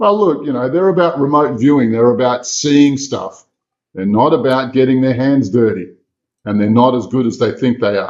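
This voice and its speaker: With an Australian accent, this man speaks at an even, moderate speed. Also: medium pitch for a man, lively intonation. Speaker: exorcist and remote viewer. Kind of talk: interview storytelling. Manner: animated.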